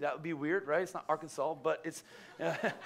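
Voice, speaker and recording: Very fast speech comes from a man at a high pitch. His intonation is monotone and flat. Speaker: pastor. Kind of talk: sermon. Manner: fast, stuttering. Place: church. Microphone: headset.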